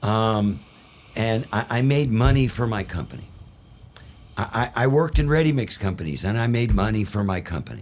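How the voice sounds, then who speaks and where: A man talks in an ordinary speaking voice at a medium pitch. His intonation is lively and his pace moderate. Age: 60s. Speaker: concrete industry consultant. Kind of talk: casual chat.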